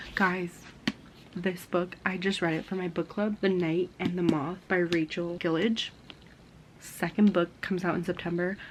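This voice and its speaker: A woman with a fairly low pitch and monotone, flat intonation over noticeable background noise. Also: moderate pace. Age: 20s. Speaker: lifestyle vlogger. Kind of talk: vlog, casual talk to camera. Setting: at home and at a park, in a car. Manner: chatty, informal.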